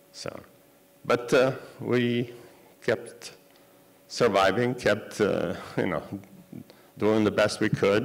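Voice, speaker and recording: A man at a very slow pace with long, frequent pauses, medium pitch and ordinary pitch variation. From Poland. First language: Yiddish. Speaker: Holocaust survivor giving a talk. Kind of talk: lecture. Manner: halting, with many fillers. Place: hall. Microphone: podium.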